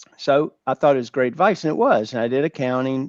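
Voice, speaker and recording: A man with a Southern US accent speaks at a medium pitch with fairly even intonation. The sound is dry and close, with no echo. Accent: North Carolina, Georgia Southern. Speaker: business owner, former accountant. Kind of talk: webinar interview.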